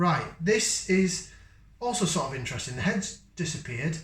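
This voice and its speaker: With a northern English accent, a man speaks in very wide pitch swings amid audible room echo. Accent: northern English, getting stronger. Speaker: beer reviewer. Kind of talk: casual product review. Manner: casual, hesitant with fillers.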